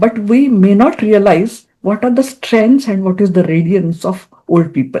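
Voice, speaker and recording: A woman with a dark, mellow tone and medium pitch talks at a fairly slow pace, her voice somewhat breathy. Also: lively intonation. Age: 70s. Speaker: psychologist. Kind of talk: interview.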